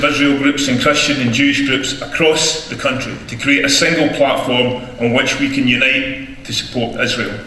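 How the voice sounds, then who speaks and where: With a Scottish accent, a man talks at a moderate pace and fairly high pitch with hardly any pauses, amid audible room echo and noticeable background noise. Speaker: advocacy group director. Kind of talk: rally speech. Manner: animated.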